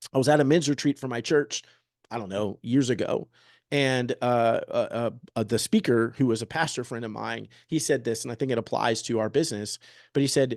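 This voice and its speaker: A man at a fairly quick pace with ordinary pitch variation, against a quiet background. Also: medium pitch for a man. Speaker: real estate agent. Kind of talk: presentation. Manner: fast.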